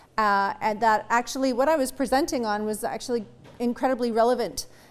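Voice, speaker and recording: A woman speaks with a fairly high pitch. Her pace is moderate and her intonation fairly even. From Ktunaxa community, British Columbia, Canada. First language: Ktunaxa. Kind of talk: conference presentation. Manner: halting, many fillers.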